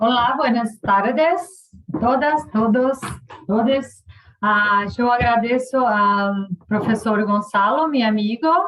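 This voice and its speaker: The speech comes at a very slow pace with a Portuguese accent and ordinary pitch variation. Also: woman, fairly high pitch for a woman. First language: Portuguese (speaking Spanish). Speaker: professor. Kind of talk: lecture. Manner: halting.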